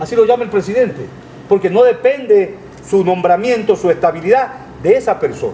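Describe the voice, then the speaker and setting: Amid noticeable background noise, a man speaks at a moderate pace with lively intonation. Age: 60s. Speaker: lawyer. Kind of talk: interview. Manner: emphatic, repetitive.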